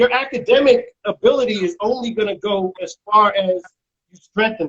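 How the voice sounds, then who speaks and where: The voice belongs to a man and sits at a high pitch. He talks with an American accent. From New Jersey. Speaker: radio host. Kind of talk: interview.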